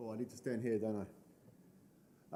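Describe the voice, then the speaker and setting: A man speaks with a New Zealand accent, and the room echo is audible. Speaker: conference speaker, board vice president of open source association. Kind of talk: conference talk.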